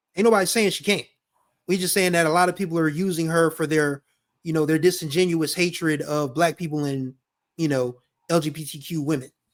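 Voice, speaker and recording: On a very clean recording with a silent background, a man uses a plain, everyday voice at a fairly high pitch. He speaks at a fairly quick pace with fairly even intonation. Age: 40s. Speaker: podcast host. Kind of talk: casual chat.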